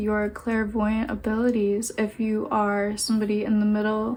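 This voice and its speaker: A woman's fairly high, somewhat breathy voice, monotone and flat, at a fairly slow pace. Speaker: tarot reader. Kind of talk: pick-a-card tarot reading. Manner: halting.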